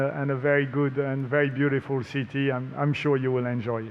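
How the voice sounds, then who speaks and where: A man with a French accent and a fairly high pitch, at a moderate pace with fairly even intonation. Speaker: racing series promoter. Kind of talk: press conference speech.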